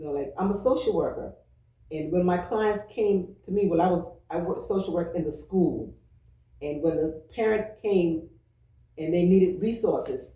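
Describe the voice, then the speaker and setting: In a room with audible echo, a woman speaks at a moderate pace and medium pitch, her dark, mellow tone somewhat breathy, with ordinary pitch variation. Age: 60s. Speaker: church member, retired social worker. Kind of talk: oral history interview.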